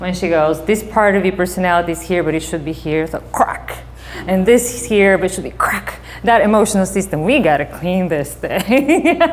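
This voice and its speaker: A woman with a Bulgarian accent talks at a moderate pace and a medium pitch. Her pitch varies in an ordinary way, and background noise is noticeable. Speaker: psychotherapist. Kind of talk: talk to an audience.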